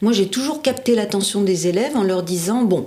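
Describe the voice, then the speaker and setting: A woman's voice with lively intonation amid noticeable background noise. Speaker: former trainer and teacher in professional training. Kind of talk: interview answer.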